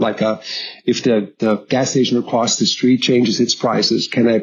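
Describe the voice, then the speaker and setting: A man of medium pitch with a German accent. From southern Germany. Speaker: logistics executive. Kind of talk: interview storytelling. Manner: hesitant, many fillers and repetitions.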